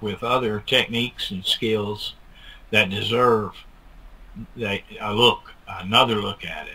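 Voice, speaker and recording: Speaking very slowly, a man keeps his intonation fairly even. His tone is bright and sharp. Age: 60s. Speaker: bigfoot film researcher. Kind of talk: interview. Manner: halting.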